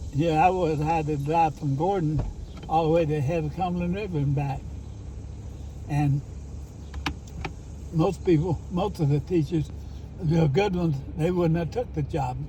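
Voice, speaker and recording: A fairly high male voice at a moderate pace, with fairly even intonation and long, frequent pauses, amid audible room echo and noticeable background noise. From eastern Kentucky, Letcher County. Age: 80s+. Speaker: retired teacher. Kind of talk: casual chat. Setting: outdoors.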